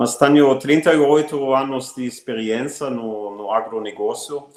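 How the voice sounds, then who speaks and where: With a German accent, a man speaks fairly slowly at a medium pitch with fairly even intonation. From Germany. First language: German (speaking Portuguese). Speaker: agribusiness executive. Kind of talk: interview. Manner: frequent hesitations.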